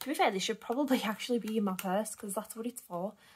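A woman with a British accent speaks in a somewhat breathy voice at a fairly high pitch. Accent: regional British. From United Kingdom. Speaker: budgeting vlogger. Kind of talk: casual talk to camera. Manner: hesitant, lots of filler 'erm'. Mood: relaxed, self-deprecating. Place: home room. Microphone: phone near.

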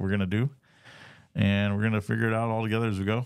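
A man speaks at a fairly low pitch with fairly even intonation. His tone is clear and smooth, slightly mellow.

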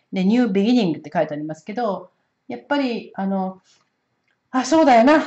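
The speaker moves at a fairly quick pace with long, frequent pauses, very wide pitch swings and big shifts in loudness, over a quiet background. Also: woman. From Japan. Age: 60s. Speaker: oracle card reader and astrologer; oracle card reader. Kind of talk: solo spiritual card-reading talk. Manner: casual, many hesitation fillers. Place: home room. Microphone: camera far.

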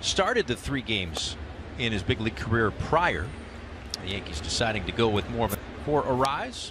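The speech moves at a moderate pace with lively intonation. Long, frequent pauses break it up. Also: man, medium pitch for a man. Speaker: baseball play-by-play announcer. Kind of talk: live baseball play-by-play commentary, brisk pitch-by-pitch calls. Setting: broadcast booth.

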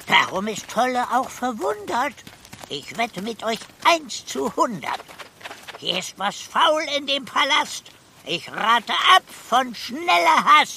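Light background noise sits under a put-on character voice with a fairly high pitch, a fairly slow pace and long, frequent pauses. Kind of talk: children's audio drama. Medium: audio drama. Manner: speaks in rhymes, cautious.

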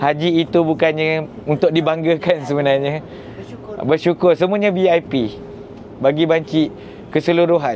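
Over noticeable background noise, a man with a fairly high pitch speaks at a fairly slow pace, his loudness very even and his pitch variation ordinary. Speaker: travel vlogger on hajj pilgrimage. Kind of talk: travel vlog narration. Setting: on a bus and outdoors at Arafah.

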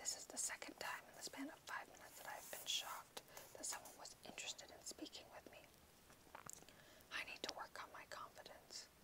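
Someone whispers at a fairly quick pace against noticeable background noise. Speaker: ASMR reader. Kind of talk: audiobook reading. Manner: whispered.

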